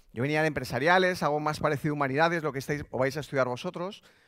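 A man's voice over a quiet background. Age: 30s. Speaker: digital business executive; keynote speaker. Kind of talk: motivational talk. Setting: stage with audience. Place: stage. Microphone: headset.

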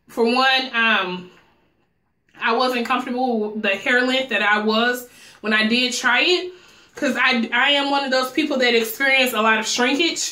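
With audible room echo but a quiet background, a woman speaks at a moderate pace in a high pitch. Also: ordinary pitch variation. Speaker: hair stylist and vlogger; vlogger. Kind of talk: tutorial. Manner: casual, chatty. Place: home room.

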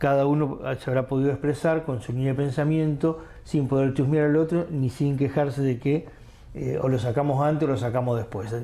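A man speaks at a moderate pace with a fairly high pitch, fairly even intonation and a dark, mellow tone. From Argentina. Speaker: local news journalist. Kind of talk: interview. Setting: studio. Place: studio. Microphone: lapel.

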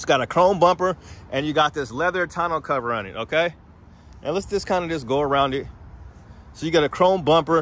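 The man's tone is bright and sharp, and he talks at a fairly quick pace. The sound is dry with no echo. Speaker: truck vlogger. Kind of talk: casual walkaround commentary. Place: street. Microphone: phone near.

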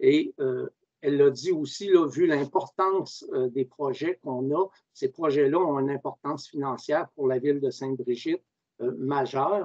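A man with an ordinary speaking voice, fairly high pitch and ordinary pitch variation, at a fairly slow pace, dry sound with no echo and a quiet background. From Quebec. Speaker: mayor chairing a municipal council meeting; mayor chairing council meeting. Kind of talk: council meeting proceedings. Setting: video conference. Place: home room. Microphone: video call.

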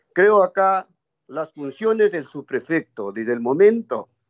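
A man's fairly slow speech with very wide pitch swings over a quiet background. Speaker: legislator. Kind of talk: parliamentary debate. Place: home room. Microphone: video call.

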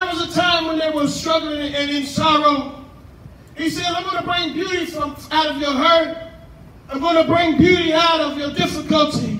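A man's extremely high, raised, projected voice with a passionate tone but monotone, flat intonation, at a moderate pace, with audible room echo and light background noise. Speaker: pastor preaching at a tent revival. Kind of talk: sermon, live preaching to a congregation. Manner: passionate, call-and-response preaching. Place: tent.

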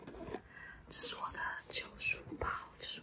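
A woman whispers. Her tone is relaxed. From Taiwan. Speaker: ASMR content creator. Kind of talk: casual talk to camera. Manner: soft-spoken, relaxed. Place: home room. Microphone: phone near.

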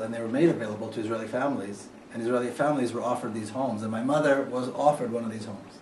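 A man at a very fast pace, fairly even intonation, audible room echo and light background noise. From Jerusalem, Israel; Israel. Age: 50s. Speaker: author. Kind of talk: lecture. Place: hall. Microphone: camera far.

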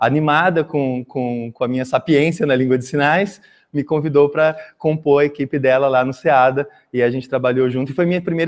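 The recording is very clean with a silent background. The speech moves at a fairly quick pace with fairly even intonation. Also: man. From Brazil, Mato Grosso do Sul (Campo Grande). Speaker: sign language interpreter and teacher. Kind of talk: conference talk. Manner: halting, frequent repetitions.

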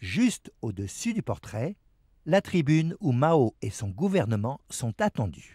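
A man at a medium pitch with a dark, mellow tone, vocal fry and very wide pitch swings, at a very slow pace, in a dry, close sound with no echo on a very clean recording with a silent background. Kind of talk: documentary narration over archival footage. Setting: voiceover. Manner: measured, formal, steady newsreel-style delivery.

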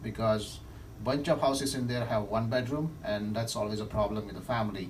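A man's normal speaking voice, fairly low in pitch, at a fairly quick pace with ordinary pitch variation and light background noise. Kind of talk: business phone discussion. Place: office.

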